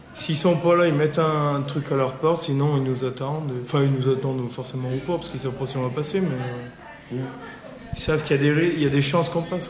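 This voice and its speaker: Audible room echo and noticeable background noise accompany speech at a fairly quick pace with fairly even intonation. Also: man, fairly high pitch for a man. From France, Coise in the Monts du Lyonnais. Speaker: young villager taking part in a local tradition. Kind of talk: casual interview. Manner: halting.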